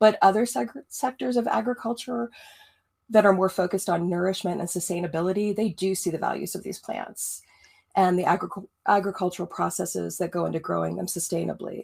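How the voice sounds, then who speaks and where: On a very clean recording with a silent background, a woman speaks at a fairly quick pace and medium pitch, with ordinary pitch variation and vocal fry. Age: 50s. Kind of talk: podcast interview.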